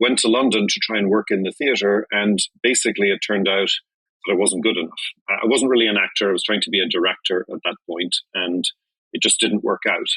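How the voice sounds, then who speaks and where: A man with a Dublin accent talks at a fairly quick pace in a bright, sharp tone, his fairly low pitch following fairly even intonation in a dry, close sound with no echo. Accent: Irish (Dublin). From Ireland. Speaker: journalist. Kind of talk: interview answer.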